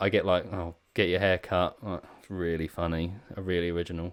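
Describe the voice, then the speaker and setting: A man speaks at a moderate pace with a very deep, low voice and a slight Essex accent. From Essex, England. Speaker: pedal maker and podcast host. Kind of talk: casual chat.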